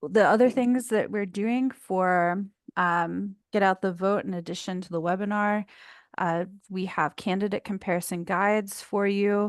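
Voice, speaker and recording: Against a quiet background, a normal speaking voice moves at a fairly slow pace with fairly even intonation. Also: woman, medium pitch for a woman. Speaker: committee member presenting policy updates. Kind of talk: online meeting presentation.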